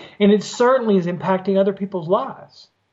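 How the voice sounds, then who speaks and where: Here a man speaks with a Southern US accent. His pitch is high. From US South. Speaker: former trial lawyer. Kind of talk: interview. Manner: hesitant with frequent fillers.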